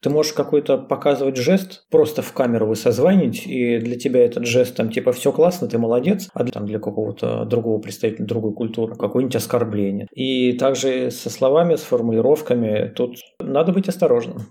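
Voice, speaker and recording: At a fairly quick pace, a man talks with a medium pitch and ordinary pitch variation in a plain, everyday voice. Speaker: engineering manager. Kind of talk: casual chat.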